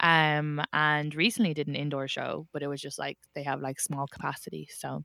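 A woman's very deep, low voice, dry and close with no echo, on a very clean recording with a silent background. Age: 30s. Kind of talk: casual banter.

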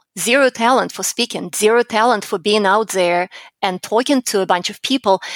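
A woman with a fairly high pitch uses an ordinary speaking voice and ordinary pitch variation, recorded with a dry, close sound and no echo. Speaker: public speaking coach and entrepreneur. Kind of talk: interview.

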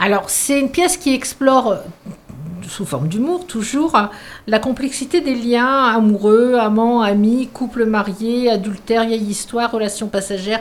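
Fairly slow in pace, a woman speaks in an ordinary speaking voice at a fairly high pitch with ordinary pitch variation. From northern France, mining basin. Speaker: youth and culture centre staff. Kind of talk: radio interview.

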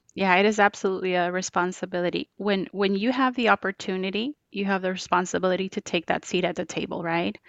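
Speaking with a Spanish accent, a woman of medium pitch rushes along at a very fast pace with fairly even intonation and hardly any pauses. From Colombia, Bogotá. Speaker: diversity and inclusion manager. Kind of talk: interview.

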